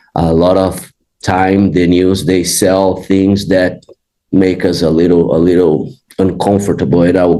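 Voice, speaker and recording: Speaking with a Brazilian Portuguese accent, a man uses a very deep, low pitch and a dark, mellow tone, flat and monotone, with very even loudness at a fairly slow pace. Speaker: jiu-jitsu facility manager. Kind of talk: interview podcast.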